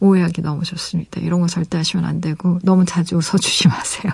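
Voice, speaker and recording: A woman speaks at medium pitch, somewhat breathy. Her tone is dark, mellow and warm. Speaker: radio DJ and novelist. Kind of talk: late-night radio chat reading listener letters. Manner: warm, with frequent hesitations.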